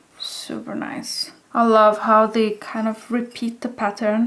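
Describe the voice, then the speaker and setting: A woman with a non-native accent speaks at a very slow pace, her intonation fairly even. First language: not English. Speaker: hobby potter. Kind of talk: casual show-and-tell vlog.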